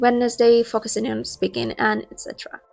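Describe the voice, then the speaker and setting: A woman talks at a fairly quick pace with a fairly high pitch. There is music in the background. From Russia. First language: Russian. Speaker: English learning youtuber. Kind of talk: tutorial.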